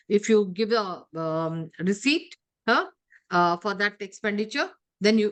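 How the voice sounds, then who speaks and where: The intonation is lively while the pace stays fairly slow. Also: woman. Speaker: compensation trainer. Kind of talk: online lecture. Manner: hesitant with fillers.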